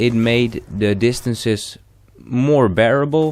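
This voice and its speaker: A man with a non-native accent talks at a very slow pace with fairly even intonation. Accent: non-native English, trouble with th sound. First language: not English. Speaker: gaming commentator. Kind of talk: gaming commentary monologue. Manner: halting, frequent false starts and fillers.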